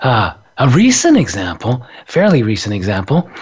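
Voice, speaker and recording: A man's medium-pitched voice comes across somewhat breathy as he talks at a moderate speed. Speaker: radio host. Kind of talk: casual chat.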